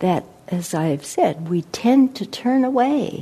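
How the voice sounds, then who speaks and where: Somewhat breathy, a woman's voice swings very widely in pitch. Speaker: meditation teacher giving a dharma talk. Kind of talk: dharma talk with poetry reading. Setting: meditation center with audience. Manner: slow, contemplative, reflective.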